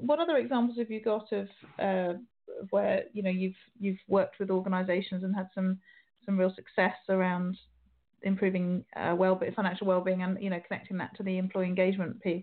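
A woman with a plain, everyday voice speaks at medium pitch and a fairly quick pace, her intonation fairly even. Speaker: radio host. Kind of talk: interview.

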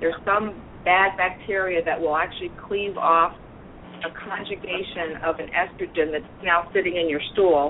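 Over noticeable background noise, a woman speaks at a moderate pace with a fairly low pitch and fairly even intonation. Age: 50s. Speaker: clinical nutritionist. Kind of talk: expert panel discussion.

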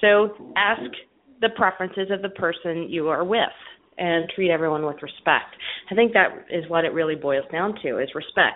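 A woman with an ordinary speaking voice talks at a moderate pace with a fairly low pitch and ordinary pitch variation. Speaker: radio show host, music therapist. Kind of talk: radio interview. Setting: call-in radio show.

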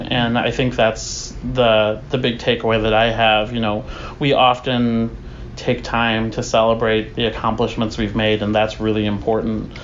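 With audible room echo and noticeable background noise, a man in an American accent speaks at a moderate pace with monotone, flat intonation. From US, small conservative town. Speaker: community center board president. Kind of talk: interview. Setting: community center.

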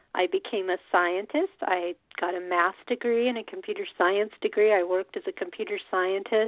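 A woman with an ordinary speaking voice, medium pitch, ordinary pitch variation, a moderate pace and hardly any pauses. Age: 50s. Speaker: radio host. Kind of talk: solo monologue.

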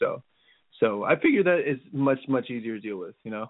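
At a fairly quick pace, the speaker talks in a normal speaking voice. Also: man. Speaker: former reality show contestant. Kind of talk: casual chat. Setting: phone call.

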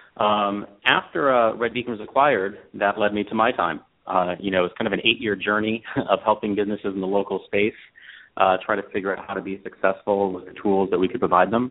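At a fairly quick pace, a man with a fairly low pitch talks in an unremarkable speaking voice, his intonation fairly even. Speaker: app founder. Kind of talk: casual interview. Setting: phone call.

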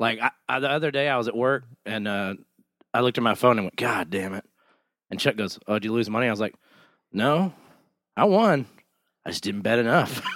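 A man talks at a fairly quick pace with ordinary pitch variation. Still, he takes long, frequent pauses. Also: medium pitch for a man. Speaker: podcast co-host. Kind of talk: casual chat. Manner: jokey, interrupts often.

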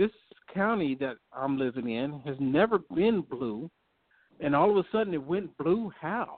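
A man is speaking. His intonation is lively. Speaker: talk show host and activist. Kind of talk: political talk radio discussion. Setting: phone call.

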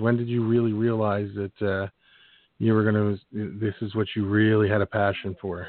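A man with an American accent, medium pitch, a normal speaking voice, and a moderate pace. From Philadelphia. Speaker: podcast host. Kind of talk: casual interview.

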